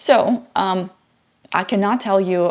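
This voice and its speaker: A woman's medium pitch with ordinary pitch variation and a non-native accent. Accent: foreign. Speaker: software engineer, tech YouTuber. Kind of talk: live stream Q&A. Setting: live stream. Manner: halting, many fillers. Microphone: new microphone, some static.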